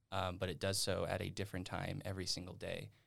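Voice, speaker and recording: A man speaks with an American accent at a moderate pace. His pitch is very deep and low. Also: very clean recording, silent background. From Nevada. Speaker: university student. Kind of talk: casual chat.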